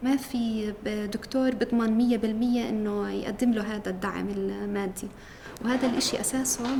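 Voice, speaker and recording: A woman speaks at a moderate pace in a fairly high pitch with monotone, flat intonation, with audible room echo and noticeable background noise. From Jerusalem. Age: 30s. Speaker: PhD student in pharmacology. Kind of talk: interview testimony. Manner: hesitant, with fillers.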